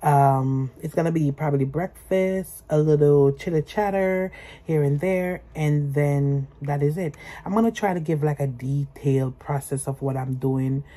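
A woman speaks with a very deep, low pitch. Her pace is fairly slow and her pitch varies in an ordinary way. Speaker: vlogger. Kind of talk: casual vlog chat. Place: home room. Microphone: phone near.

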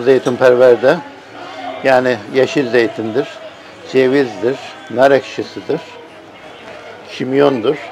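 A man speaks very slowly with fairly even intonation and long, frequent pauses while crowd noise carries in the background. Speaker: food vlogger at a meal. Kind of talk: casual vlog chat. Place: cafe.

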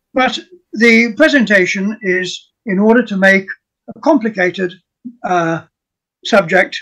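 Against a quiet background, a man with a high pitch and a bright, sharp tone speaks in a raised, projected voice at a fairly slow pace, with lively intonation and long, frequent pauses. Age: 80s+. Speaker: retired professor, archaeologist; retired professor. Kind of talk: academic presentation; lecture-style presentation in group discussion. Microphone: video call.

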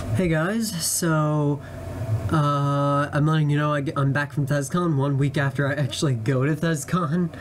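Over noticeable background noise, a man speaks at a fairly slow pace with very even loudness and fairly even intonation. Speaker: vlogger. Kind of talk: casual vlog chat. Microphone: phone near.

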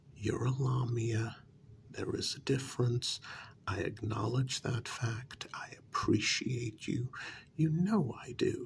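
Soft-spoken, gentle delivery at a very slow pace over light background noise. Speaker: role-play narrator. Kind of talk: scripted role-play monologue. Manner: soft, gentle ASMR speaking.

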